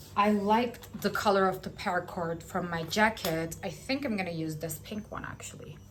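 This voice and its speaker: A woman with a non-native accent and medium pitch speaks at a fairly slow pace with lively intonation, amid audible room echo. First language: not English. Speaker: knitting vlogger. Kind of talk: casual vlog chat. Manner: hesitant, filler-heavy.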